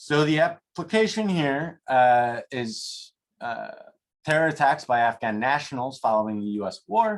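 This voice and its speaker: A plain, everyday voice talks at a fairly slow pace. The intonation is lively. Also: man, fairly high pitch for a man. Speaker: academic researcher presenting. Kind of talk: academic seminar presentation.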